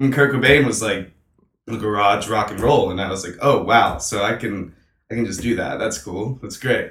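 This man has an unremarkable speaking voice, a medium pitch and an American accent. He talks at a moderate pace with ordinary pitch variation. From North Carolina (Hampstead, near Wilmington). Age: young. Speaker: musician. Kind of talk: casual chat.

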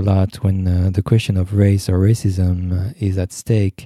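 Speaking with a French accent, a man keeps a fairly slow pace. His pitch is fairly low, with a dark, mellow tone. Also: dry, close sound with no echo. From France. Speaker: psychoanalyst, podcast co-host. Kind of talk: panel discussion. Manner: halting.

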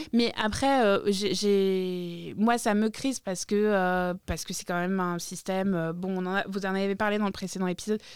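A plain, everyday voice speaks at a fairly slow pace with fairly even intonation and hardly any pauses. The recording is very clean, with a silent background. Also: woman, medium pitch for a woman. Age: 40s. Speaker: podcast co-host, activist. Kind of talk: casual chat. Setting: studio.

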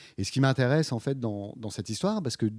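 The voice has a dark, mellow tone, captured dry and close with no echo on a very clean recording with a silent background. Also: man. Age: 50s. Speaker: visual artist and curator. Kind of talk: interview. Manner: halting, many repetitions and fillers.

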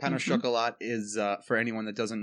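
The speaker is a man with a fairly low pitch. He talks with a New York accent. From New York, Long Island. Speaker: pastry chef. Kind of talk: interview. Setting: front porch.

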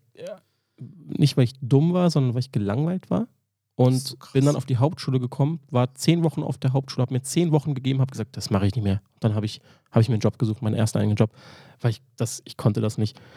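Speaking at a very fast pace, a man with a medium pitch and a dark, mellow, somewhat breathy tone is heard on a very clean recording with a silent background. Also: ordinary pitch variation, dry, close sound with no echo. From Berlin, Germany. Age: 30s. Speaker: barista. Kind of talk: casual chat. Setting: hotel.

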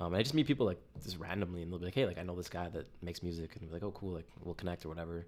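A man with a Canadian accent and a very deep, low pitch talks at a very fast pace with hardly any pauses and ordinary pitch variation. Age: 20s. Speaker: music producer. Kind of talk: casual chat.

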